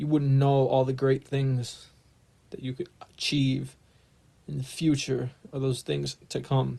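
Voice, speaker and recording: A man with a medium-pitched, somewhat breathy voice speaks at a fairly slow pace with monotone, flat intonation. Long, frequent pauses break up his speech. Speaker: spiritual vlogger. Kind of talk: casual monologue vlog. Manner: halting, repeated words.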